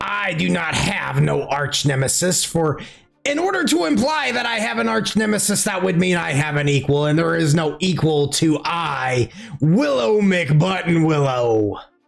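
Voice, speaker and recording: A man's put-on character voice, fairly high in pitch, at a moderate pace, with music in the background. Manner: grandiose, arrogant.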